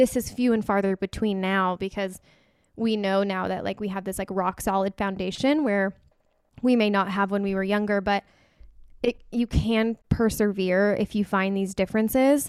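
At a moderate pace, a woman speaks at a medium pitch with fairly even intonation, recorded very cleanly against a silent background with a dry, close sound and no echo. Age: 20s. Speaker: wedding photographer and podcast host. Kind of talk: casual chat. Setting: studio.

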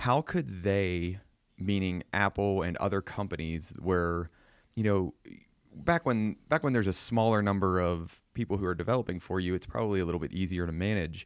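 With a Pennsylvania accent, the speaker talks at a moderate pace with ordinary pitch variation, recorded in a dry, close sound with no echo. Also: man, very deep, low pitch for a man. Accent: regional Pennsylvania. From southwestern Pennsylvania. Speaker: podcast host. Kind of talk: interview chat.

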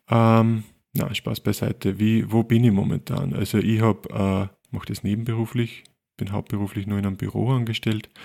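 A man talks at a moderate pace with an Upper Austrian accent. His fairly low voice has a dark, mellow tone and ordinary pitch variation. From Linz, Upper Austria. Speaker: photographer, podcast co-host. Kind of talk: casual chat.

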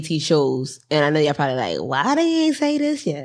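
The speaker talks at a fairly quick pace in an animated tone on a very clean recording with a silent background. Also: woman. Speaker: podcast host. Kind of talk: casual chat. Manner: laughs often, animated.

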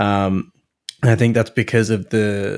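This man speaks in a fairly low pitch on a very clean recording with a silent background. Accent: Australian. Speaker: podcaster and father. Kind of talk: casual chat.

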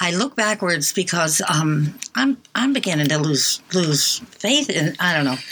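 A fairly low-pitched woman's voice with very wide pitch swings over noticeable background noise. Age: 80s+. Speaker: college radio co-host. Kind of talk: casual chat. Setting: studio.

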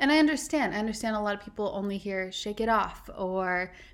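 In a plain, everyday voice, a woman talks at a fairly quick pace and a medium pitch. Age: 30s. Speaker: podcast host. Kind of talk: casual interview chat.

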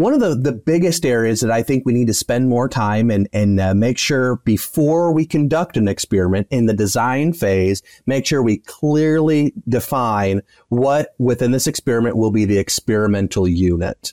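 With an American accent and a dark, mellow tone, a man talks with lively intonation, very even loudness and hardly any pauses, in a dry, close sound with no echo. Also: medium pitch for a man, moderate pace, quiet background. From US Midwest, West Michigan. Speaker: veterinarian and animal science professor. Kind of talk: interview. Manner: halting, repeats words.

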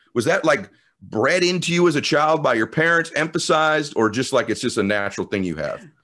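A man with a fairly high pitch speaks fairly quickly in an energetic, bright and sharp tone, with lively intonation and vocal fry. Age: 50s. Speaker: podcast host. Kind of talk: interview. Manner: clear articulation.

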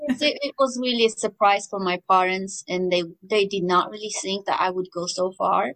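In an Armenian accent, a woman speaks with hardly any pauses. Her pitch sits in the medium range with ordinary variation. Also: moderate pace. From rural Armenia. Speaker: composer. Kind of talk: interview.

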